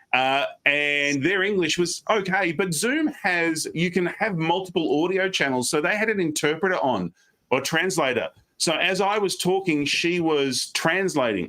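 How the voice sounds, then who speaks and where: In an Australian accent, a man with a high pitch sounds energetic, his tone bright and sharp and his loudness very even. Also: ordinary pitch variation. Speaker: professional speaker. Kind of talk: interview on a live stream. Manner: fast.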